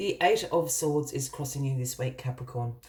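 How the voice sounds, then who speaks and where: The woman talks rather slowly in a somewhat breathy voice. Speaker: tarot reader. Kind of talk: tarot reading.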